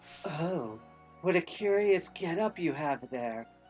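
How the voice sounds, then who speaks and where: In a put-on character voice at middle pitch, the speaker goes at a fairly slow pace while clear music plays in the background. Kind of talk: curious, theatrical. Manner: put-on, playful.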